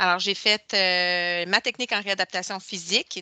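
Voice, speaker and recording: A woman talks at a medium pitch in a bright, sharp tone. The sound is dry and close with no echo, and her intonation stays fairly even. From Quebec, Boucherville (South Shore of Montreal). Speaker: physiotherapy technologist. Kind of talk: interview. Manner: hesitant, many fillers.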